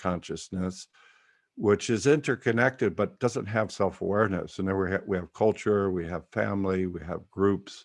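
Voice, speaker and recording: A man with an ordinary speaking voice, fairly low in pitch, at a moderate pace with ordinary pitch variation against a quiet background. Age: 60s. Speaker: workshop leader and teacher. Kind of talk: online group meeting and talk. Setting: video call.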